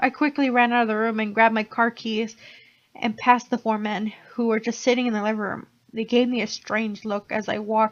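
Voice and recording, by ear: In a natural voice, a passage is read aloud.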